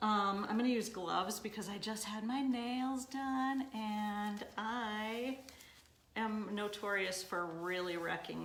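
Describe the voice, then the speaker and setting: A woman speaks at a fairly slow pace with a fairly high pitch. Her ordinary pitch variation comes with audible room echo. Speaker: boutique owner demonstrating paint products. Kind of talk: live-stream tutorial. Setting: live stream on social media. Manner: loud; casual, chatty.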